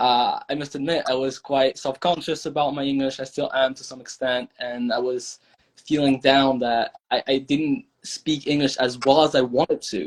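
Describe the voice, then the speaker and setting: A man with a French accent speaks in a flat monotone, hardly pausing at all. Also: fairly high pitch for a man, moderate pace. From France. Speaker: language learner. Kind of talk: podcast interview. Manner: halting, with self-corrections.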